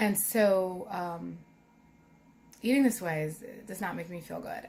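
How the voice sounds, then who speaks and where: In a Philadelphia accent, a woman speaks at medium pitch with vocal fry and ordinary pitch variation. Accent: Philadelphia American English. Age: 30s. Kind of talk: casual vlog talk to camera.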